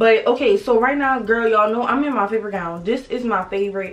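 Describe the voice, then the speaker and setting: With ordinary pitch variation, a woman talks at a very fast pace. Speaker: vlogger. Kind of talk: casual vlog chat. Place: home room. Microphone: phone near.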